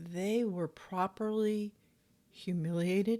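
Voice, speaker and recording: Her voice is medium in pitch for a woman, with a dark, mellow tone. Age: 60s. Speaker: ex-member commentator reacting to church videos. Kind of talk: reaction commentary.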